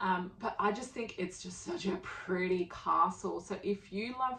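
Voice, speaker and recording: A woman speaks with an Australian accent. She talks at a fairly slow pace. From Poland, moved to Australia as a child. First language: Polish. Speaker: travel vlogger. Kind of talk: casual travel talk to camera. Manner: animated, many fillers.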